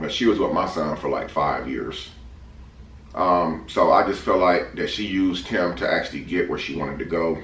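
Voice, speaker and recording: A man talks at a moderate pace. The room echo is audible and the background noise is noticeable. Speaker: family vlogger. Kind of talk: casual chat. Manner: eating while talking.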